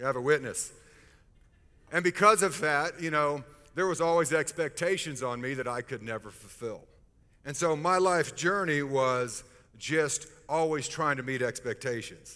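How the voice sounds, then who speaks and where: A man's fairly high voice with ordinary pitch variation, music playing in the background. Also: moderate pace. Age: 50s. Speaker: pastor. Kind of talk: sermon.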